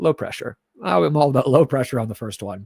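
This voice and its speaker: Lively intonation marks this man's speech. His pitch is fairly high. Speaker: screenwriting livestream host. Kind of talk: casual livestream chat. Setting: livestream from own computer. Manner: casual, filler-heavy.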